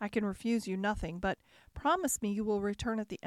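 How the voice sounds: Fairly even intonation in a natural reading voice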